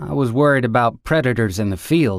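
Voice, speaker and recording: Using a put-on character voice, a man speaks at a fairly quick pace. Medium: read story. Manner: wry, terse.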